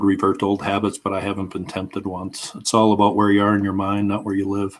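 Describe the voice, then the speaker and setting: The man's pitch is fairly low. He talks at a fairly quick pace. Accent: Minnesotan. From Minnesota, US. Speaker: history YouTuber. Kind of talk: casual livestream chat. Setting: at home, live stream.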